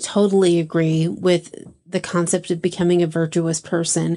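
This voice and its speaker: Against a quiet background, a woman with a Texan accent speaks in a fairly low pitch with monotone, flat intonation. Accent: Texan American. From Texas, small town. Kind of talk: casual interview.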